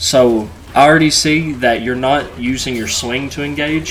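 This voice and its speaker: Noticeable background noise and audible room echo surround the recording. A man talks at a moderate pace with lively intonation. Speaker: gaming YouTuber. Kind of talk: gameplay review commentary. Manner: casual, filler-heavy.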